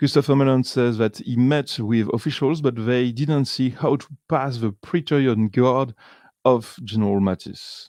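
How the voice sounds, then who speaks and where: A French accent carries through at a moderate pace. The pitch varies in an ordinary way over a quiet background. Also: man, medium pitch for a man. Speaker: video podcaster analyzing a TV series. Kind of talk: commentary summarizing a documentary. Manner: halting, many fillers and restarts.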